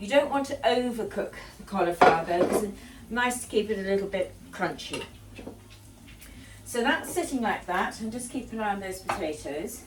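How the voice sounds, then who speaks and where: Speaking with a southern English accent, a woman uses a fairly high, lively voice at a moderate pace with long, frequent pauses, amid noticeable background noise and audible room echo. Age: 70s. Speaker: home cooking vlogger. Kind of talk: cooking tutorial. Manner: casual, hesitant with fillers.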